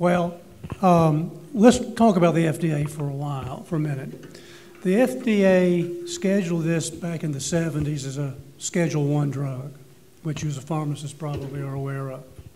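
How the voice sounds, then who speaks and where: A man speaks at a moderate pace with ordinary pitch variation. The room echo is audible and background noise is noticeable. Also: fairly high pitch for a man. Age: 60s. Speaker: panelist on medical cannabis. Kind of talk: panel discussion.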